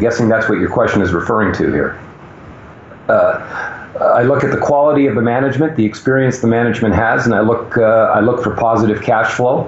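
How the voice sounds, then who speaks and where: Speaking at a very fast pace, a man is heard through audible room echo and noticeable background noise. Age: 60s. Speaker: mining sector veteran and commentator. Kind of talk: interview. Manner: hesitant, many fillers.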